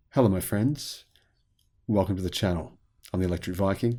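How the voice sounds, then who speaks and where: Spoken with an Australian accent at a fairly quick pace, this dark, mellow voice has lively intonation on a very clean recording with a silent background. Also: man. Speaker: YouTube commentator on electric vehicles. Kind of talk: casual monologue video commentary.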